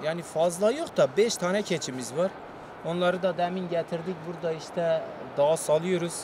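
Noticeable background noise is present. The sound itself is dry, with no echo. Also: man, high pitch for a man, fairly even intonation, moderate pace. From Turkey. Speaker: villager, goat keeper. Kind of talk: casual interview. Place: open country.

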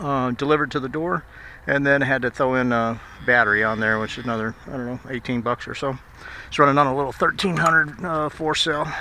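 A man at a fairly quick pace, ordinary pitch variation, dry sound with no echo and light background noise. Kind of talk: casual vlog chat. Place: open country. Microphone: phone near.

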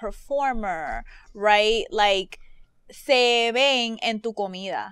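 A woman speaks at a fairly high pitch. The recording is very clean, with a silent background and a dry, close sound with no echo. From Caribbean. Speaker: podcast host. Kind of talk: casual chat.

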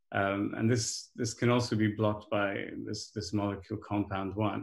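With audible room echo, a man talks at a moderate pace in a fairly low pitch, using vocal fry and little pitch movement.

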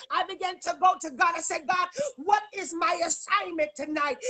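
At an extremely high pitch, a woman speaks in a raised, projected voice at a moderate pace, animated and bright with a sharp tone, against a quiet background. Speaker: prophetess guest preacher. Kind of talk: sermon / prophetic preaching in full flow. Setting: live social media video stream. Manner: animated, fervent, exhorting with call-and-response. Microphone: phone near.

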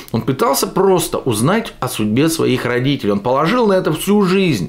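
This man's pitch rises and falls very widely. His pace stays moderate. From Russia, Yekaterinburg; Russia. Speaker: political video blogger. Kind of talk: political commentary monologue. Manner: animated. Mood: sarcastic, critical. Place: home room.

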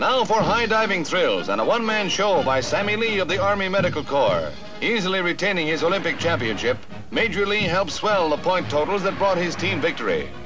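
A man's high voice at a fairly quick pace, with ordinary pitch variation and clear music in the background. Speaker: newsreel narrator. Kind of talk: newsreel narration. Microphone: old recording.

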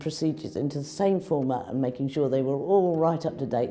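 A woman speaks at a very deep, low pitch with ordinary pitch variation. Faint music plays in the background. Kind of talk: interview answer. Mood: warm, proud. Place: office. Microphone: lapel.

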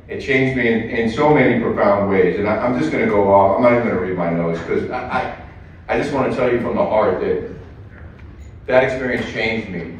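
Strong room echo fills the recording. A man talks at a fairly quick pace with ordinary pitch variation. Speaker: guest, former war correspondent. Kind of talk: speech to audience. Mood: heartfelt, reflective. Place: hall.

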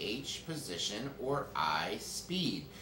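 A man is speaking. There's audible echo from the room and a little background noise. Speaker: school news host. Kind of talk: broadcast quiz hosting. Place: studio.

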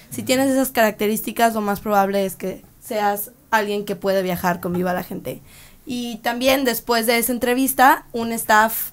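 Woman, fairly high pitch, moderate pace. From Mexico, Guadalajara; Jalisco, Mexico. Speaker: touring performer and interpreter; interviewee. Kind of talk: interview answers and interpreting. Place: studio. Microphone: podium.

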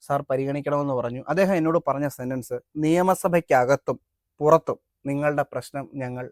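In an ordinary speaking voice, a man talks with fairly high pitch and fairly even intonation, the sound dry and close with no echo. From Kerala, Adoor (Pathanamthitta). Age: 20s. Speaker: world record holder and activist. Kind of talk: interview.

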